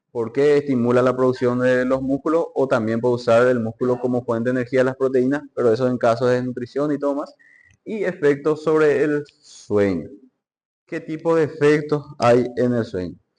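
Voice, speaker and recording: This man has a normal speaking voice with medium pitch. He keeps a moderate pace and ordinary pitch variation. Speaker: medical lecturer or student presenter. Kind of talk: lecture.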